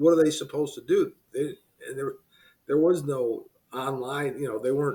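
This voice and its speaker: With an American accent, a man speaks at a moderate pace in a fairly high, somewhat breathy voice with fairly even intonation. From US Midwest, Cleveland. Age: 70s. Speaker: business consultant. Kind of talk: podcast interview. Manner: conversational.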